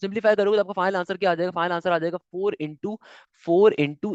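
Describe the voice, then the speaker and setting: Recorded dry and close with no echo, a man speaks at a high pitch. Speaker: maths teacher. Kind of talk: lecture. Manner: not loud, fasting; animated.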